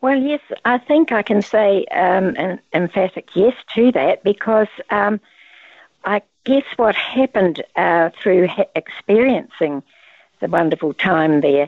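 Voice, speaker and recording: A woman speaks at a fairly slow pace in a New Zealand accent, leaving long, frequent pauses. Her medium-pitched voice swings very widely in pitch. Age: 80s. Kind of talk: casual interview chat. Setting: phone or video call.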